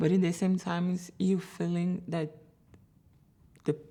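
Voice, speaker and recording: A woman with a Brazilian Portuguese accent speaks in a monotone, flat intonation with a dark, mellow tone. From Brazil, Sao Paulo. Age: 30s. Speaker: photographer, immigrant interviewee. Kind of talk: interview testimony.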